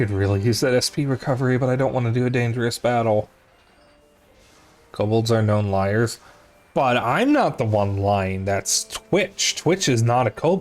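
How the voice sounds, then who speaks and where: With music in the background, a man of medium pitch speaks at a moderate pace, his loudness very even and his intonation lively. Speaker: video game streamer. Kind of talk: live gameplay commentary. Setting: live stream.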